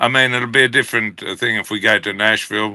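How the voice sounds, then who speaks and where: In an Australian accent, a man talks with a medium-pitched voice. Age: 60s. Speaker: country musician. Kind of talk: interview.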